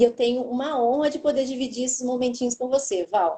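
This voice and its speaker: A woman speaks in a high-pitched voice. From São Paulo state, Brazil. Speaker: oncology pharmacist, live moderator. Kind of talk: live webinar moderation. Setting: online live stream.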